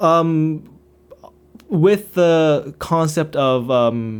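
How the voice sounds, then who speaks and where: With a Korean accent, a man speaks at a fairly high pitch with lively intonation. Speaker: YouTuber. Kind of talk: unscripted monologue. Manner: halting, stuttering.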